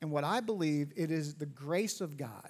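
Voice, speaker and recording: At a fairly slow pace, a man with fairly high pitch talks in a normal speaking voice with ordinary pitch variation. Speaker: pastor. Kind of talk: church sermon. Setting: church auditorium. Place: church.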